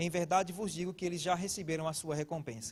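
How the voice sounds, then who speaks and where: With a northeastern Brazilian accent, a man speaks at a fairly quick pace. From Brazilian Northeast. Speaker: pastor. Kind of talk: sermon.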